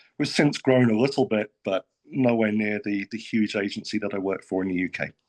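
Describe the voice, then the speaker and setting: A man speaks fairly quickly in a British accent at a fairly low pitch. The sound is dry and close with no echo, over a quiet background. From UK. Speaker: state financial regulator. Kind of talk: panel discussion.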